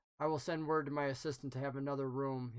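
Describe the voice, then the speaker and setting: A put-on character voice rattles along at a very fast pace, low-to-middle in pitch and flat and monotone in intonation. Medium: actual play. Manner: clipped, authoritative.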